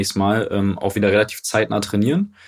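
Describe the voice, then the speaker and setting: A man talks at a very fast pace in a fairly low pitch. The recording is very clean, with a silent background. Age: 20s. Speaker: football club marketing manager. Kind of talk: casual interview.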